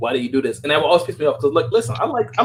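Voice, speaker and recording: An American-accented man talks with lively intonation and an animated tone. His voice is somewhat breathy. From New Orleans, Louisiana. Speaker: podcast host. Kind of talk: casual group chat. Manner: animated, repeats words and restarts.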